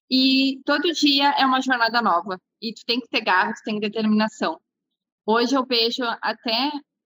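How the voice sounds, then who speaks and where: A woman speaks in a Gaúcho Brazilian accent with a high pitch and a bright, sharp tone. Her pitch varies in an ordinary way, and the sound is dry and close with no echo. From Porto Alegre, southern Brazil. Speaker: entrepreneur, business co-founder. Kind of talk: interview conversation.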